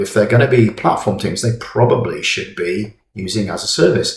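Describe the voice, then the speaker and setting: A man with a medium-pitched, somewhat breathy voice talks at a fairly slow pace. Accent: English. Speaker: software tutorial presenter. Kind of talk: software tutorial. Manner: casual with fillers.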